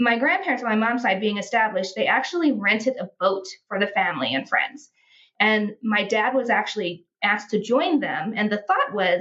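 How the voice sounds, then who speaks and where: Using a normal speaking voice, a woman with an American accent talks at a moderate pace, with a fairly high pitch and lively intonation. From United States. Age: 40s. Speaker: healthcare sales professional, traveler. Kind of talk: casual interview, personal story.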